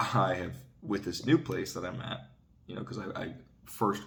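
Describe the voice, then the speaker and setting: A man talks quietly at a moderate pace with vocal fry. Audible room echo surrounds his voice. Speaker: vlogger. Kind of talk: casual monologue vlog. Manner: quiet, keeping voice down.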